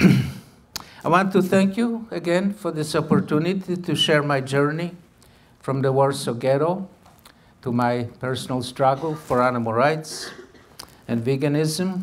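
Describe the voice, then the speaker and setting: Fairly slow, fairly high male speech with ordinary pitch variation, set in audible room echo. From Poland. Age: 80s+. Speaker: animal rights activist. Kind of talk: lecture. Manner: formal.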